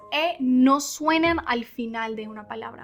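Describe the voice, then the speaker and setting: With music playing in the background, a woman with an English accent speaks very slowly in a raised, projected voice, her high pitch showing ordinary variation. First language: English (speaking Spanish). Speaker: English teacher. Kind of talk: language lesson.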